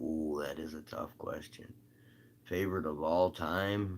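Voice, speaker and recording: A man with an American accent, relaxed tone and vocal fry, at a moderate pace with ordinary pitch variation. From US Midwest (northern Michigan). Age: 40s. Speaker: singer-songwriter musician. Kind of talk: casual livestream chat answering viewer comments. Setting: solo livestream. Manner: relaxed, many fillers.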